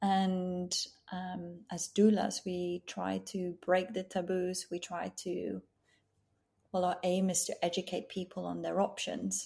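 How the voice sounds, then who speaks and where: A woman with a Dutch accent speaks at a very slow pace. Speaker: end of life doula. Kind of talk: casual interview chat. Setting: video call from home in Australia.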